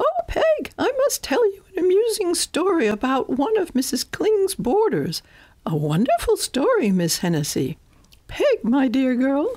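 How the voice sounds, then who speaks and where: This is a put-on character voice. Its pitch sits extremely high. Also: moderate pace. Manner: mocking, prancing.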